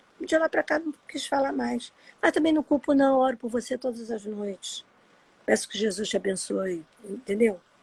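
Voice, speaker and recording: Dry and close with no echo, the voice moves through very wide pitch swings. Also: woman. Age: 60s. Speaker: adoptee sharing her story. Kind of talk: personal testimony in a live interview. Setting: Instagram live video.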